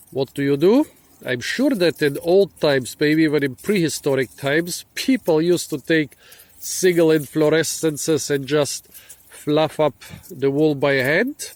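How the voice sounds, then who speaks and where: At a fairly slow pace, a man with a non-native accent and fairly high pitch speaks in a dry, close sound with no echo. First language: not English. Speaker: foraging and plant video host. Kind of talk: casual explainer to camera. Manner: casual with frequent fillers.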